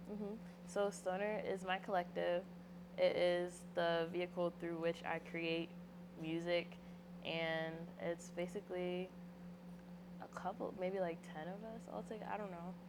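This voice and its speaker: Leaving long, frequent pauses, a woman speaks at a fairly slow pace with a fairly low pitch and monotone, flat intonation. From Philadelphia area, US. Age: 20s. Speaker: rapper. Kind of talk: interview. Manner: casual.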